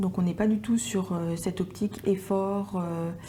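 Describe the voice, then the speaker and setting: A woman at a medium pitch, with monotone, flat intonation. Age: 20s. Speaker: entrepreneur. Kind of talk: interview testimony. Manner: hesitant, many fillers.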